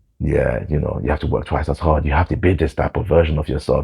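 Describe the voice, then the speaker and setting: A man talks at a very fast pace with a London accent. His intonation is fairly even. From London, England. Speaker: vlogger. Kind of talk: personal storytelling monologue.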